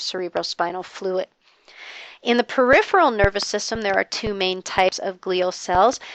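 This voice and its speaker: A woman talks at a moderate pace and a medium pitch. She has an ordinary speaking voice. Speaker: biology lecturer. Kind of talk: lecture.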